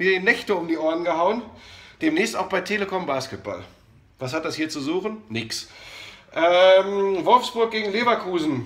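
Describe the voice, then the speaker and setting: This man's voice sits high. It swings very widely in pitch. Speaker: sports commentator. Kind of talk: casual talk to camera. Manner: energetic, chatty.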